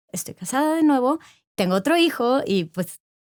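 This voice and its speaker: A woman with a normal speaking voice talks at a moderate pace with lively intonation. The very clean recording has a silent background and a dry, close sound with no echo. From Monterrey, northern Mexico. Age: 40s. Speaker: corporate executive. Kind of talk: interview conversation.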